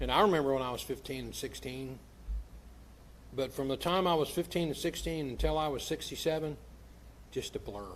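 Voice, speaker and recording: At a fairly quick pace but with long, frequent pauses, a man speaks at a fairly high pitch with ordinary pitch variation. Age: 60s. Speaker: pastor. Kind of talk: sermon. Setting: church.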